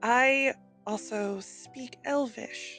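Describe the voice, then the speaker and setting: A woman's put-on character voice, fairly high in pitch, with faint music in the background. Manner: very soft.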